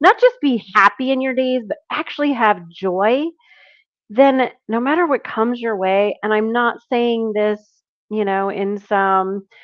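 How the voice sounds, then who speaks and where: This is an unremarkable speaking voice, delivered at a fairly slow pace with ordinary pitch variation. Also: woman, fairly high pitch for a woman. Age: middle-aged. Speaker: business owner. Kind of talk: interview.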